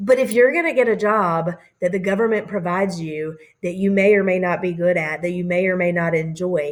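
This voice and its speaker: This woman has an ordinary speaking voice with a fairly low pitch. She talks at a fairly quick pace with ordinary pitch variation. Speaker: teacher. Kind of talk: recorded lecture over slides. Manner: casual with many fillers.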